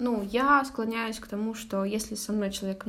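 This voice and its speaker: A fairly high, somewhat breathy woman's voice with audible room echo. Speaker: advertising manager at news outlet. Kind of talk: casual chat. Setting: at her home.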